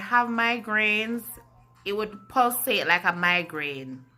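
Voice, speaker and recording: Music plays in the background as a woman talks in a fairly high voice. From Jamaica. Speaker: vlogger. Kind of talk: personal vlog, health story. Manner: deliberately slow and clear.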